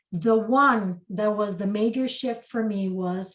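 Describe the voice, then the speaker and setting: At a fairly slow pace, a woman with a Spanish accent speaks with ordinary pitch variation against a quiet background. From Costa Rica. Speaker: spiritual mentor and channeler. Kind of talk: interview.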